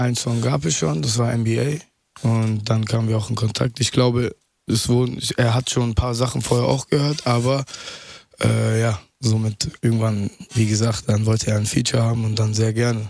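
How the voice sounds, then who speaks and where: A normal speaking voice from a man, medium in pitch, at a moderate pace, with fairly even intonation and very even loudness. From Ruhr area, Germany (Mülheim/Essen). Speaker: rapper. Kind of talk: radio interview.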